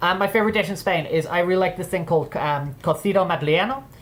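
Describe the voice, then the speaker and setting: Talking very fast, a woman shows ordinary pitch variation. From northern England. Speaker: streamer. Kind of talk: casual livestream chat. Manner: repetitive, stammering restarts.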